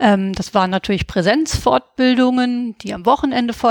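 A woman speaks in a plain, everyday voice at a fairly high pitch and moderate pace, with ordinary pitch variation. The recording is very clean and silent in the background, with a dry, close sound and no echo. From Hesse, Germany (Gießen). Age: 40s. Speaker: veterinarian and founder of an online training platform. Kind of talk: interview.

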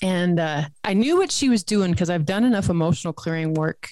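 A woman's ordinary speaking voice, fairly low in pitch, at a fairly quick pace. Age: 40s. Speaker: health coach. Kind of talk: interview podcast chat.

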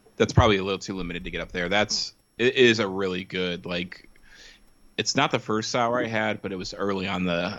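With ordinary pitch variation and a moderate pace, an ordinary speaking voice carries the words. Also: man. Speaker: podcast guest. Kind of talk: casual chat. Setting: remote call.

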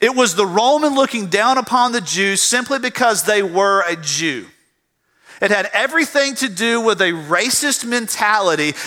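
A man with a Southern US accent speaks in a raised, projected voice at a moderate pace. His tone is bright and sharp, with a high pitch and lively intonation. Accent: Southern US (Georgia). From US South, south Georgia. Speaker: pastor. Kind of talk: sermon. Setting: church. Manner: halting, repeats words.

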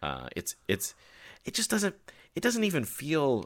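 Heard on a very clean recording with a silent background, a man speaks with lively intonation. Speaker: podcast host. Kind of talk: casual interview conversation. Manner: talkative.

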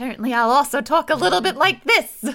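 In a put-on character voice, a female-sounding speaker races along at a very fast pace with a high pitch.

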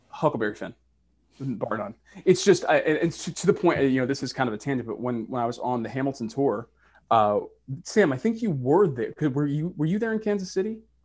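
A man with an American accent, fairly high-pitched, with very wide pitch swings and a fairly quick pace against a quiet background. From Boston, Massachusetts. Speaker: actor and university professor. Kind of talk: casual chat. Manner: animated.

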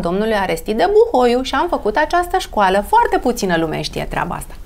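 This woman's pitch leaps up and down over a very wide range. She talks at an average speed. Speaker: beauty expert. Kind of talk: casual interview.

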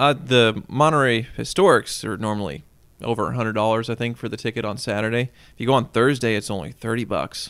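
Someone speaks very fast with vocal fry in a Kansas accent on a very clean recording with a silent background. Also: man, medium pitch for a man, ordinary pitch variation. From Kansas, Wichita. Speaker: car collector and automotive writer. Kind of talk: casual chat.

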